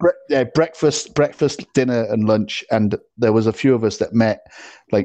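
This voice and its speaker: In a British accent, a man with a dark, mellow tone talks at a fairly quick pace with ordinary pitch variation, against a quiet background. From UK. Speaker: podcast host. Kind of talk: casual chat. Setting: remote call. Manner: halting.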